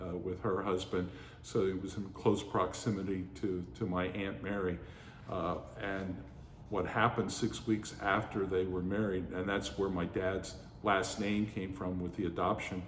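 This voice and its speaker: With audible room echo, a man with an American accent talks at a fairly slow pace in a very deep, low pitch. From western Pennsylvania, Pittsburgh area. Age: 60s. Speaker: oral history narrator. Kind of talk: oral history interview. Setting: heritage center museum. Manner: hesitant, many fillers.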